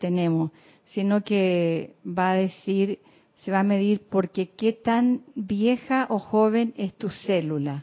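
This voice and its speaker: Ordinary pitch variation in an unremarkable speaking voice. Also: woman. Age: 60s. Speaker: class participant. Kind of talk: casual discussion.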